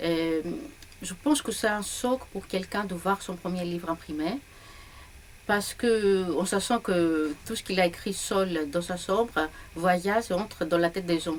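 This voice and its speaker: A woman with a Greek accent speaks at a fairly slow pace and a medium pitch. Noticeable background noise runs behind her. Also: ordinary pitch variation. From Greece, Larissa. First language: Greek (speaking French). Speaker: novelist. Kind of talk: interview. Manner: hesitant, with fillers.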